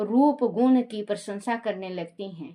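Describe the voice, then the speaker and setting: Against a quiet background, a woman uses an ordinary speaking voice with a fairly high pitch. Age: 60s. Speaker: religious storyteller. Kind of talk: casual chat; reading aloud.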